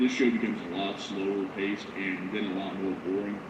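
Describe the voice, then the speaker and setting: Audible room echo and noticeable background noise fill the recording. Within it, a man speaks very fast. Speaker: live news streamer. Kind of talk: live news commentary. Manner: fast, nonstop talking.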